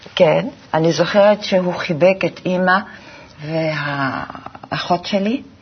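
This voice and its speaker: Noticeable background noise sits behind a woman with a fairly low voice. She speaks at a very slow pace with ordinary pitch variation. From Belgium (Antwerp). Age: 70s. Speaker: graphic designer. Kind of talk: interview.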